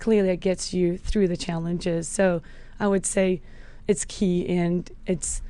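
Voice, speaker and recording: A woman with a slight South African accent speaks at a moderate pace in a flat monotone, her medium-pitched voice dark and mellow. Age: 40s. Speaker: health and fitness coach. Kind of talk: podcast interview.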